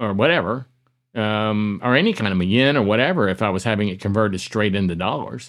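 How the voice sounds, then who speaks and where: A man in an unremarkable speaking voice talks at a fairly quick pace with ordinary pitch variation. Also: quiet background. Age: 60s. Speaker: business owner and podcaster. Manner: relaxed, chatty.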